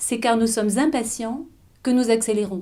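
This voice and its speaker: A woman speaks with a high pitch and a dark, mellow tone. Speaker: author of a mindfulness eating book. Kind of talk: explanatory talk to camera about mindful eating.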